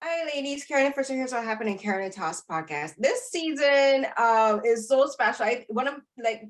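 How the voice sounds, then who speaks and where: The speaker has a Barbadian accent and lively intonation. The delivery is at a moderate pace with hardly any pauses. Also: woman, high pitch for a woman. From Barbados. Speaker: podcast host and film critic. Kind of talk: roundtable interview. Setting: video call. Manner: halting, many fillers.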